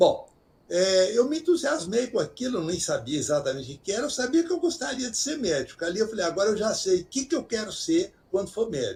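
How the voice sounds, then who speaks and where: Moving at a fairly quick pace, a man speaks with a high pitch and very wide pitch swings. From Brazil, interior of Minas Gerais. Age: 80s+. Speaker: retired doctor and author. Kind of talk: interview. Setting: video call.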